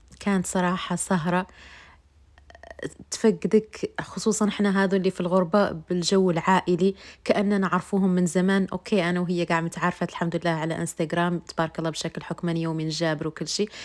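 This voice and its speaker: A woman with a Moroccan accent speaks at a fairly quick pace in a fairly low pitch. Her intonation is monotone and flat, and the recording is very clean with a silent background. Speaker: vlogger. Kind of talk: vlog narration. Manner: halting.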